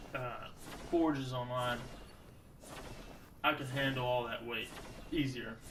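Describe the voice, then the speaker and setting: Noticeable background noise surrounds a man speaking. He keeps a moderate pace, with audible echo in the room. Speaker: gaming youtuber. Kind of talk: gameplay commentary. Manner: casual, joking; loud. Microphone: new cheap twenty dollar mic with pop filter.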